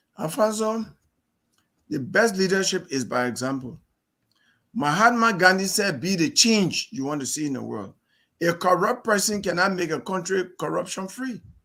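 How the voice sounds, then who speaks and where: A man with a high, raised, projected voice in a bright, sharp tone, with lively intonation at a moderate pace and long, frequent pauses. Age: 60s. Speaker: presidential candidate, lawyer. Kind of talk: interview.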